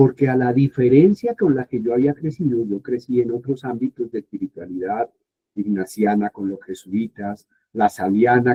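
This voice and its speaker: A man has a normal speaking voice at a medium pitch. He talks at a moderate pace. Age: 60s. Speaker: Bible scholar and professor. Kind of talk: informal talk to youth group.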